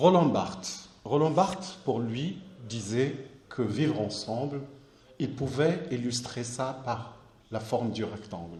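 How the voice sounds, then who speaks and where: A man speaks at a very slow pace, leaving long, frequent pauses, his medium-pitched voice somewhat breathy with a dark, mellow tone. Room echo is audible around him. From southern Morocco, Akka oasis near Algerian border. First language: Amazigh (Berber) (speaking French). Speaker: artist. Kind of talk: lecture. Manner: halting, frequent repetitions.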